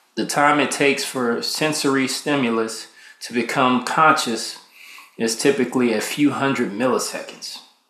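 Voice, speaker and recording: There is audible room echo as a man with a medium pitch speaks in a relaxed tone. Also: fairly even intonation, moderate pace. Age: 30s. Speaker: podcast host, military veteran. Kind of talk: casual solo monologue. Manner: relaxed, conversational with fillers.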